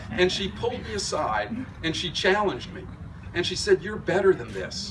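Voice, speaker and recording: The speech moves at a moderate pace with big swings in loudness. Audible room echo and noticeable background noise fill the recording. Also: man. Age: 60s. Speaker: fitness club owner. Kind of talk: dedication speech.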